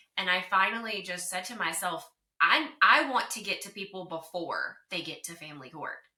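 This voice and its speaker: A woman with a slight Southern US accent talks at a moderate pace. Her medium pitch carries lively intonation. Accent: slight Southern twang. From US South, North Carolina. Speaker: divorce recovery coach. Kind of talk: interview.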